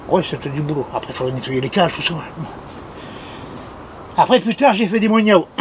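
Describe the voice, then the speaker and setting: A man's lively, fairly quick speech amid noticeable background noise. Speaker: municipal gardener. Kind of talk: casual talk to camera.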